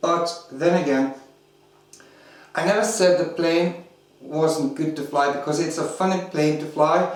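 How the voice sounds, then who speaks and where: Speaking with a non-native accent, a man with a fairly high pitch talks at a fairly slow pace with long, frequent pauses and fairly even intonation, against noticeable background noise and audible room echo. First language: not English. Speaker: RC hobby video reviewer. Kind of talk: product review tutorial. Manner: hesitant, many fillers.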